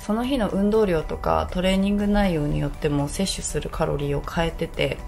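A woman speaks at a moderate pace with faint music behind her. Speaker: fitness vlogger. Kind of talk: casual vlog chat. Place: home room. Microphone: phone near.

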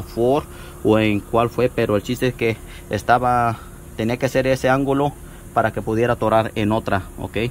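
A man speaks at a fairly quick pace. His intonation is fairly even, with light background noise. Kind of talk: tutorial. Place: garage. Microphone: phone near.

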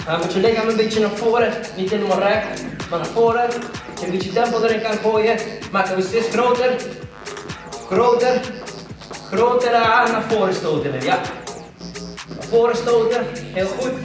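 With clear music in the background and audible room echo, a man with a high voice talks at a moderate pace in fairly even intonation, leaving long, frequent pauses. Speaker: fitness instructor. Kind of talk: workout instruction. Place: empty room.

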